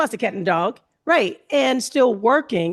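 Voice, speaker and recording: A woman's voice with vocal fry and very wide pitch swings, over a quiet background. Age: 60s. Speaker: family caregiver and panelist. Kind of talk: panel discussion.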